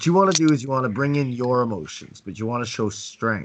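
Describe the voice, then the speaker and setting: Pitched at a medium level, a man speaks with lively intonation. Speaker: dating coach. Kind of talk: online class. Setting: video call. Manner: halting, repeats words; slow, strong demonstration voice.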